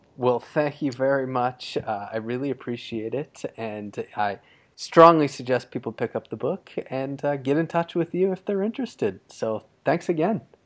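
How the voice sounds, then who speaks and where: Barely pausing, a man with an unremarkable speaking voice talks at a moderate pace and medium pitch with lively intonation over a quiet background. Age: 30s. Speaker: podcast host. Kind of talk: interview. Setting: remote call.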